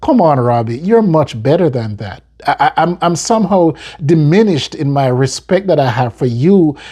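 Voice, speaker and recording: A man with an American accent, fairly high in pitch, with a dark, mellow tone and lively intonation. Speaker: football fan commentator. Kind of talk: casual video commentary. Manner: halting, frequent repetitions and fillers.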